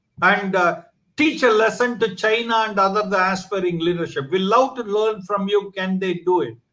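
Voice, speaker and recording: With a bright, sharp tone, a man speaks at a high pitch and varies it in an ordinary way. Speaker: online talk show host. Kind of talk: channel promo; interview. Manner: hesitant, many fillers.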